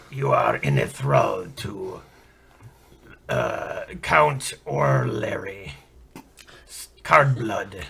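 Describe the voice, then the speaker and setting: Using a put-on character voice, a man with a fairly low pitch rasps at a very slow pace with long, frequent pauses. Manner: strained, forced theatrical voice.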